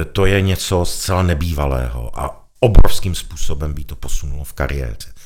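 Noticeable background noise surrounds a man speaking at a moderate pace with a very deep, low pitch. His intonation is lively, and his loudness swings widely. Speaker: gallery owner and arts patron. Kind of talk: interview.

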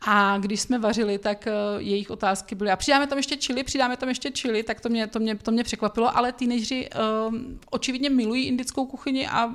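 Very fast speech from a woman, fairly high in pitch, with ordinary pitch variation. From Czech Republic, Brno. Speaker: food blogger and cooking teacher. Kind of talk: casual interview. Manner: hesitant, many fillers.

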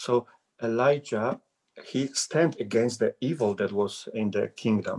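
A man with a Polish accent speaks fairly slowly at a medium pitch, with ordinary pitch variation. The sound is dry and close with no echo. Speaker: visiting preacher. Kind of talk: sermon. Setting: video call. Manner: halting.

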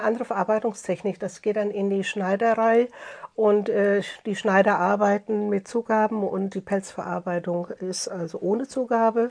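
A woman with a fairly high voice keeps her intonation fairly even at a moderate pace. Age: 60s. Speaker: master furrier, workshop owner. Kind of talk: interview. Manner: halting, many fillers.

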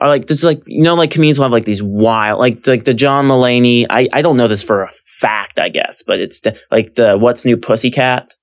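A man with an American accent has an ordinary speaking voice at medium pitch. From California. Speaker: stand-up comedian. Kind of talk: casual chat.

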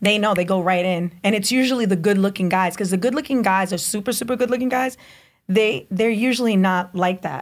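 A woman with an American accent talks fairly quickly in a normal speaking voice at a medium pitch. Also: ordinary pitch variation. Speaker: podcast guest. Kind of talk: casual chat. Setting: studio.

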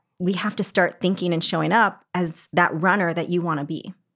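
A woman with a General American accent speaks in an unremarkable speaking voice, fairly low in pitch with ordinary pitch variation, at a fairly quick pace on a very clean recording with a silent background. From Arizona. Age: 40s. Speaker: fitness and business mentor. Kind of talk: casual interview chat.

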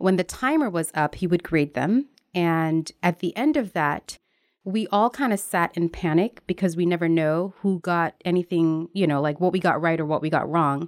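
A woman with an unremarkable speaking voice and an American accent, fairly low in pitch with ordinary pitch variation, at a moderate pace and very even loudness, in a very clean recording with a silent background and a dry, close sound with no echo. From Jamaica, then Newark, New Jersey. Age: 30s. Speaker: writer and homeschooling mother. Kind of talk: casual interview.

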